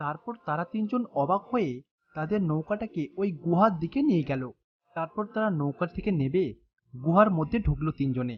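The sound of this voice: Using lively intonation, a woman speaks at a moderate pace in a low pitch.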